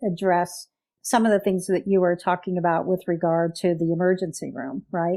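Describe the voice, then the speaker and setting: A woman's dark, mellow tone in a very clean recording with a silent background. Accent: American. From US Midwest. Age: 60s. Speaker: patient advocate. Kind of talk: interview.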